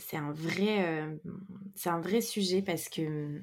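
A woman at a very slow pace, fairly low in pitch, with fairly even intonation. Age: 30s. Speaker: entrepreneur and women's circle facilitator. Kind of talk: casual interview conversation. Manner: hesitant, many fillers.

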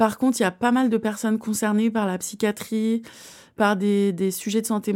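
A woman's dark, mellow voice in a very clean recording with a silent background. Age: 30s. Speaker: author and slam poet. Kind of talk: interview.

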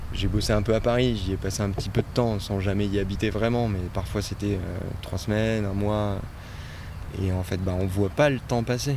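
A man speaks at a moderate pace in a fairly low pitch with fairly even intonation. Room echo is audible, along with noticeable background noise. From French Alps (Oisans, Isère). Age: 30s. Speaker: farm worker, former photographer. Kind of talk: interview. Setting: outdoors on a farm plot. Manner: hesitant, many fillers and repetitions.

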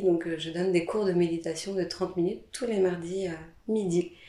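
The woman has a normal speaking voice at a medium pitch. She talks at a fairly slow pace. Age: 30s. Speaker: hypnotherapist. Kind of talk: interview.

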